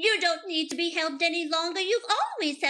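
A woman does a squeaky, put-on character voice at an extremely high pitch. She talks at a very fast pace. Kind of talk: interview answer. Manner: sweet, gentle.

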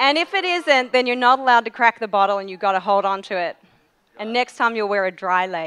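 Delivered at a very fast pace, the voice sounds bright and sharp. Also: woman, fairly high pitch for a woman. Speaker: speaker thanking organizer. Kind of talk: thank-you speech. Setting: stage with audience. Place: hall. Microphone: podium.

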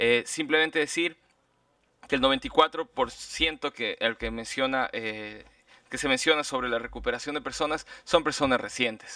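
The man talks at a fairly slow pace with a bright, sharp tone and ordinary pitch variation. The sound is dry with no echo, and the background is quiet. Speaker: human rights lawyer for petitioners. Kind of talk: witness questioning and legal argument. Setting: public hearing. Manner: formal. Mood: firm, rebutting the state. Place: meeting room. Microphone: podium.

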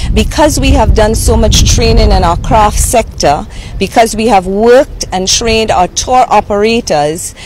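A woman with an unremarkable speaking voice talks fairly slowly at a fairly high pitch. The sound is dry with no echo, over light background noise. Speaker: tourism official. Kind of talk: news interview. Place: waterside. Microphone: handheld.

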